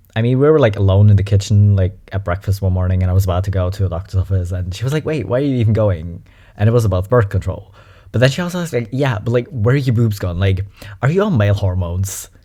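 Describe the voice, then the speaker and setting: A man talks very fast in a somewhat breathy, dark, mellow tone at a fairly low pitch with ordinary pitch variation. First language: German. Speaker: YouTuber reacting to videos. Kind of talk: reaction video commentary. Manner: casual and animated.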